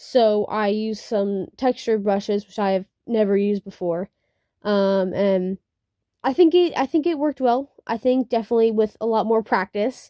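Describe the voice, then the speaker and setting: A woman speaks at a moderate pace in a fairly high pitch, with a dark, mellow tone and ordinary pitch variation. The recording is very clean with a silent background, and the sound is dry and close with no echo. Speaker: digital artist. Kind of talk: casual draw-with-me commentary. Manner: halting, many fillers; unscripted, casual.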